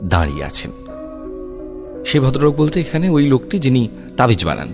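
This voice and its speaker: A man's voice with very wide pitch swings over background music. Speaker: horror story narrator. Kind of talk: horror story narration.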